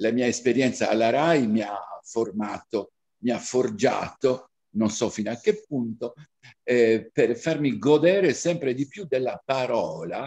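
Fairly slow, lively intonation from a man at medium pitch, over a quiet background. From Cagliari, Sardinia, Italy. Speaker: diction teacher and reciter. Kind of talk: opening talk to an audience. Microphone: webcam.

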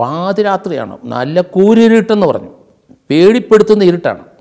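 Against a quiet background, a man speaks high in pitch with lively intonation. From Kerala, India. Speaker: retired police officer. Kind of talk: storytelling. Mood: calm, narrative, amused moments. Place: studio. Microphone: lapel.

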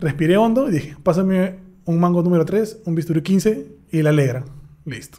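A man's high, dark, mellow voice at a fairly quick pace, with ordinary pitch variation against a quiet background. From Peru, Huacho. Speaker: dentist. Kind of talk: casual chat. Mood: cheerful, animated storytelling. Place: studio. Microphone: studio mic.

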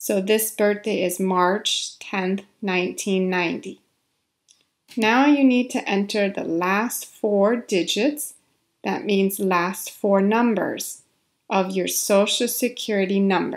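A woman speaks at a medium pitch and a very slow pace. Her pitch varies in an ordinary way. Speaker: ESL instructor. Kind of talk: tutorial.

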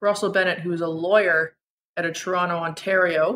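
This woman has a bright, sharp tone at a medium pitch and talks at a moderate pace. The recording is very clean, with a silent background. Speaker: podcast host. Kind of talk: casual chat.

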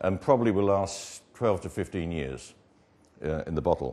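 Vocal fry runs through this man's speech, delivered at a moderate pace. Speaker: wine estate owner. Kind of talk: promotional presentation with wine tasting. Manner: halting, with many fillers. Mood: calm, proud. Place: home room. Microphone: lapel.

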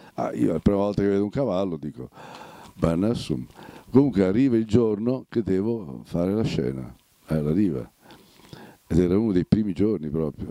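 A man's fairly low, dark, mellow voice with lively intonation at a moderate pace, dry with no echo, in a quiet background. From Romagna, Italy. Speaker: actor. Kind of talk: interview answer. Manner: lively storytelling, humorous. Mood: lively, amused storytelling. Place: home room. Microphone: handheld.

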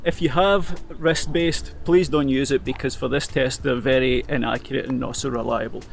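The sound is dry, with no echo. Faint music plays in the background. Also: man. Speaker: running coach. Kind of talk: tutorial. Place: open country.

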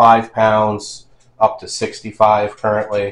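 A fairly low man's voice with audible room echo. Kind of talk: casual tour narration. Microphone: phone near.

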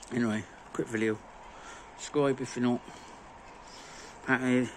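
Over light background noise, a man is speaking. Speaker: home lawn care vlogger. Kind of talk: casual vlog chat. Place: garden. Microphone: phone near.

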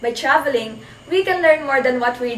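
In a room with audible echo and light background noise, a woman talks at a moderate pace with a high pitch and lively intonation. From Philippines. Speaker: student presenter; presenter. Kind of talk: class report.

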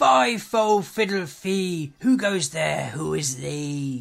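A man uses a loud, put-on character voice with a fairly high pitch. He talks at a very slow pace.

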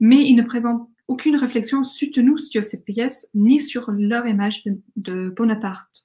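The speaker talks with an English accent and ordinary pitch variation over a quiet background. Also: woman. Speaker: academic conference speaker; conference speaker. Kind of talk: academic conference talk. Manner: hesitant, with fillers and restarts. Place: home room. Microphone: webcam.

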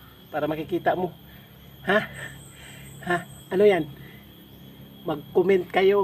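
A man speaks at a high pitch and a fairly slow pace. Long, frequent pauses break up his speech. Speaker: video creator. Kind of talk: casual vlog talk to viewers. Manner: animated, teasing; stumbling over words.

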